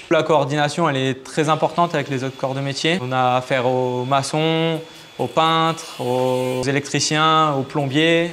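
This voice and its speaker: A man with a fairly high pitch speaks at a moderate pace in a monotone, flat way. There is noticeable background noise. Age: 20s. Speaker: heating and air-conditioning technician. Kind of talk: interview testimony. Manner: hesitant with fillers.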